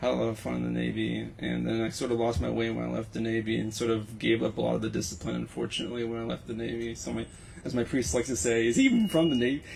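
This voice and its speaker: Speaking with an American accent, a man goes at a very fast pace with hardly any pauses. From Texas, Houston. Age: 30s. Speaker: Navy veteran. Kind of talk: casual chat. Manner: halting.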